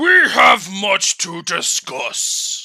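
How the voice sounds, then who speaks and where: A man uses a raspy, put-on character voice. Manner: stern, regal.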